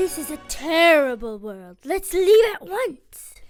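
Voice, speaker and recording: A female-sounding voice puts on a character at an extremely high pitch, swinging very widely and speaking fairly slowly. Faint music sits in the background. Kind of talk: school play. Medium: stage play. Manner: imperious, curt.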